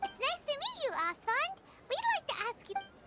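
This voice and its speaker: A put-on character voice, squeaky and extremely high in pitch, moves at a moderate pace. Music plays in the background. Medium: video game. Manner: earnest, expressive.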